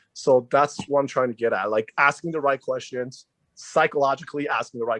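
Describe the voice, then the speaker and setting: The speaker has a non-native accent and talks at a fairly quick pace, with a quiet background and a dry, close sound with no echo. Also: man. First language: not English. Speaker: auto repair shop owner in a trade association. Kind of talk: group meeting discussion on video call. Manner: halting, with many fillers and restarts.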